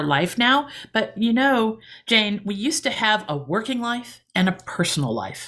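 On a very clean recording with a silent background, a woman with an ordinary speaking voice and a fairly high pitch talks at a moderate pace. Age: 60s. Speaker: author and speaker. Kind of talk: interview.

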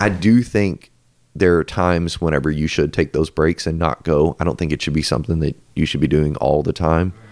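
A man's very deep, low voice with vocal fry, fairly quick and with ordinary pitch variation. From Louisville, Kentucky. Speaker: corporate finance employee. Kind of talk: casual chat.

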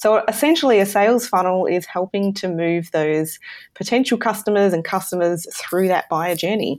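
A woman with an Australian accent, medium pitch and ordinary pitch variation, on a very clean recording with a silent background. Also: moderate pace. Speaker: e-commerce marketing consultant. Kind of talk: interview.

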